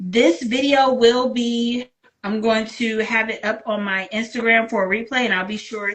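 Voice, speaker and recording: Here is a plain, everyday voice from a woman with an American accent. She speaks at a fairly high pitch and a moderate pace, with fairly even intonation. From Virginia. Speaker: book channel host. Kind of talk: interview.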